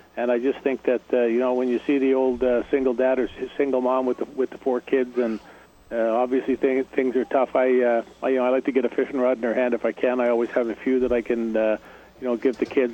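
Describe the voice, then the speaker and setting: A man with a Canadian accent talks at a very fast pace in a monotone, flat intonation at a medium pitch, with noticeable background noise. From Canada. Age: 50s. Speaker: professional angler. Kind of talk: radio interview. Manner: halting, many fillers and repeats.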